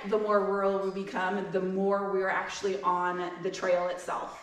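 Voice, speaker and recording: This woman's voice sits at a medium pitch and moves at a moderate pace, with audible room echo and noticeable background noise. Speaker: pony express reride rider. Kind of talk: panel discussion. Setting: museum lecture with audience. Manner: loud.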